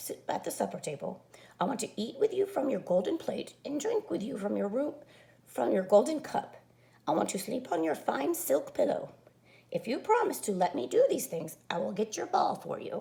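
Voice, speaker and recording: Pitched high, a woman puts on a raspy character voice at a moderate pace. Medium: read story.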